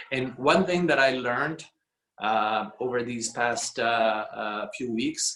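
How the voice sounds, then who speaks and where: The speech carries an Italian accent and ordinary pitch variation. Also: man. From Italy. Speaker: real estate executive. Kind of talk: business talk on a video call. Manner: halting, many fillers.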